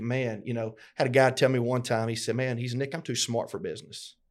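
Flat, monotone delivery at a fairly quick pace in a Southern US accent, in a very clean recording with a silent background. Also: man. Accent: Southern US (Georgia). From US South (LaGrange, Georgia). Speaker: podcast co-host, business owner. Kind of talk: casual conversational podcast. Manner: halting, many fillers and repetitions.

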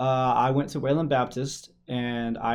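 A man's medium-pitched voice in a West Texas accent, with fairly even intonation. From West Texas (Shallow Water). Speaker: sports reporter and podcast co-host. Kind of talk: casual chat.

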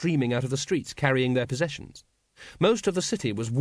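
Delivered in an unforced reading voice, the clip has a quiet background.

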